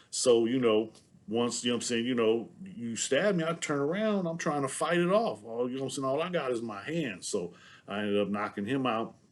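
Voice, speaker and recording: This man, who has a Southern US accent, lets his pitch swing very widely. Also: medium pitch for a man, fairly quick pace. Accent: sounds Southern US. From San Diego, California (Southeast San Diego). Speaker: former prisoner telling his story. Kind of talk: casual monologue to camera. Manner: halting, many fillers.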